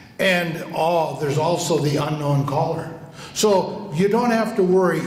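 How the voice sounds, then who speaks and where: Over noticeable background noise and audible room echo, a man talks at a fairly slow pace with a high pitch and ordinary pitch variation. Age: 80s+. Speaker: retired politician. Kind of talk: roast response speech.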